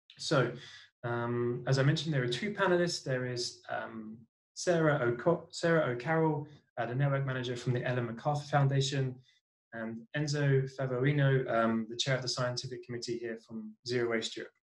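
Against a quiet background, a man with a British accent talks at a moderate pace. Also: medium pitch for a man, ordinary pitch variation. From Britain. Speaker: NGO cities program coordinator and webinar moderator. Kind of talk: webinar moderation. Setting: video call. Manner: hesitant, many fillers. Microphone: earbuds.

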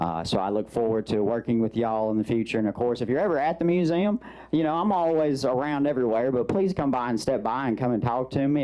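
In a Southern Arkansas accent, the voice races along at a very fast pace with lively intonation, hardly any pauses and very even loudness. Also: man. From Arkansas, Mississippi Delta region. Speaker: museum director. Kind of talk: public meeting remarks. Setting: county commission meeting.

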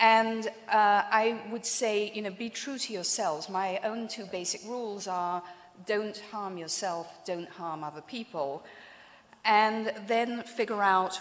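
Ordinary pitch variation marks a woman's speech at a fairly slow pace. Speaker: keynote speaker. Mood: warm, lightly humorous. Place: hall. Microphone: podium.

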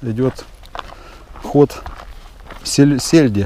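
A man speaks very slowly. The sound is dry with no echo, with light background noise. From Volgograd, Russia; Russia. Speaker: fishing vlogger. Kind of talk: casual vlog narration. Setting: outdoors. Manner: animated. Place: waterside. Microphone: phone near.

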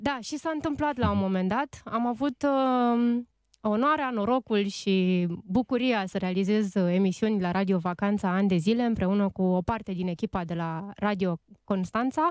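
Lively intonation marks a woman speaking at a moderate pace. The sound is dry with no echo, and the background is quiet. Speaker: radio host and writer; radio host. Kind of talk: casual chat. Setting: studio. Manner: animated. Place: studio. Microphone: studio mic.

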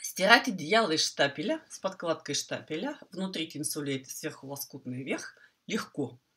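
A woman's bright, sharp tone swings very widely in pitch. She talks at a fairly slow pace against a quiet background. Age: 50s. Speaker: quilting teacher. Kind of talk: tutorial. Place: home room. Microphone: earbuds.

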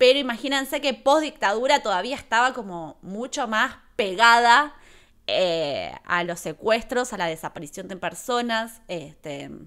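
A woman with an Argentine accent speaks in an animated way at a fairly slow pace, her fairly high pitch and bright, sharp tone paired with lively intonation and big swings in loudness. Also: quiet background. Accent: Rioplatense Argentine Spanish. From Argentina, La Plata; Argentina. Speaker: YouTuber and streamer, film reviewer; YouTuber, streamer, film reviewer. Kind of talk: live stream film review. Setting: home live stream. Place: home room. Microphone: studio mic.

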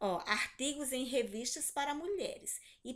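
Speaking fairly slowly, a woman is heard over a quiet background. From Brazil. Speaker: primary school teacher. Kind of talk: online class lesson. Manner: slow, didactic.

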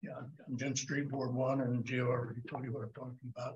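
A man speaking at a fairly quick pace. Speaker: citizen giving public comment. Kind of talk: public comment statement. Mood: earnest, concerned. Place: hall. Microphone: podium.

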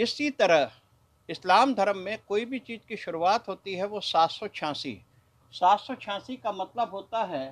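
Speaking at a fairly slow pace, a man has a high-pitched voice. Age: 60s. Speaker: bullion trader and note collector. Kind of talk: news interview. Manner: formal. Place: shop. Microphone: handheld.

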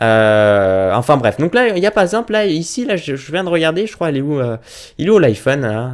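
Against a quiet background, a man talks at a fairly quick pace and a fairly high pitch. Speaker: YouTuber; youtuber. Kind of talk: casual tutorial vlog. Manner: fast. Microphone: webcam.

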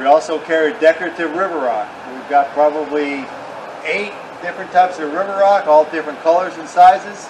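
Fairly high in pitch, a man talks at a fairly quick pace with ordinary pitch variation. Noticeable background noise runs under big swings in loudness. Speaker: landscape supply business owner. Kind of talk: street-seller pitchman patter, product rundown. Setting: outdoors. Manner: brisk, salesy. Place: open country. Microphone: camera far.

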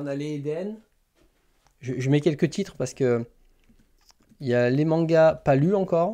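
A man with a fairly high pitch and ordinary pitch variation speaks in a dark, mellow tone, with big swings in loudness. He leaves long, frequent pauses against a quiet background. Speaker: manga YouTuber hosting a live stream; manga streamer. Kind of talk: casual live stream chat with viewers. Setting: live stream. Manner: hesitant, many fillers and repetitions. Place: home room.

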